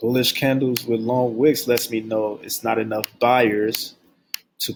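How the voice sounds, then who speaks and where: Soft-spoken, fairly slow speech in a monotone, flat intonation. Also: man. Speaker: trading educator. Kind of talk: tutorial. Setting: at workplace. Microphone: quiet, turn volume up.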